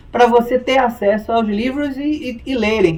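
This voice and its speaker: With ordinary pitch variation, a man talks at an extremely high pitch. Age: 60s. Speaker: lawyer. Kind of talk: interview.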